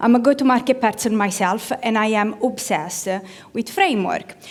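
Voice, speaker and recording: With an Italian accent, a woman speaks at a moderate pace, her fairly high voice carrying lively intonation. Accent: Italian accent, rolled R's. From Italy. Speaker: product marketing manager, conference speaker. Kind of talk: conference talk. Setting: stage with audience. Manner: animated.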